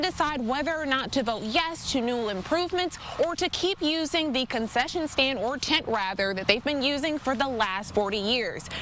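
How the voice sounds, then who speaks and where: A woman speaks at a moderate pace in a high, upbeat voice with lively intonation. There is noticeable background noise. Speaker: TV news reporter and anchor. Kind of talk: TV news live shot.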